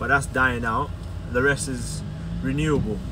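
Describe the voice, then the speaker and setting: Noticeable background noise surrounds a man whose pace is moderate. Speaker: car detailer vlogger. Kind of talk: vlog rant while driving, complaining about London traffic. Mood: frustrated, opinionated. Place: car. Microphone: phone near.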